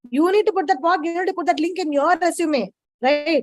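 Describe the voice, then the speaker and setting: A woman speaks at a very fast pace with an Indian accent. Her pitch is extremely high, with ordinary variation. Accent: Indian English (Tamil). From India, Chennai. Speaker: data science professional. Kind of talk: webinar Q&A advice. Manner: casual, informal.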